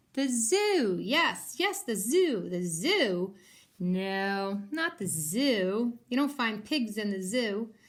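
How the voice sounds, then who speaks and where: A woman's shrill, cackling put-on character voice, fairly high in pitch and very slow in pace. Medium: read story. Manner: cackling, screechy, bossy.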